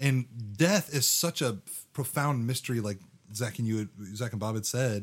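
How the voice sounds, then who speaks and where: A man with a medium pitch and ordinary pitch variation speaks in an animated tone at a moderate pace, pausing often and at length. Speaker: podcast co-host. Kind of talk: casual chat about scripture. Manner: animated, jokey.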